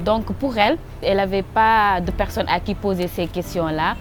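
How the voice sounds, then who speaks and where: Over music in the background, a woman speaks at a moderate pace and medium pitch with ordinary pitch variation. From Senegal. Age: 20s. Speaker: youth rights advocate. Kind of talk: testimony.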